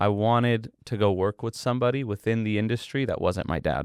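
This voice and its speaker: An ordinary speaking voice from a man with an American accent, fairly low pitch, ordinary pitch variation and a moderate pace, on a very clean recording with a silent background. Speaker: boxing event promoter. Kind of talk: podcast interview.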